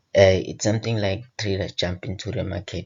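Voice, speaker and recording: In an Eswatini accent, the voice is somewhat breathy, with fairly even intonation. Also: man. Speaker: forex trading educator. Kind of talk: tutorial. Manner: casual.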